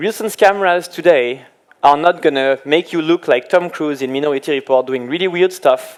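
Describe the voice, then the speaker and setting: A man with a French accent talks at a fairly quick pace in a fairly high pitch. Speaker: application engineer. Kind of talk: tech presentation.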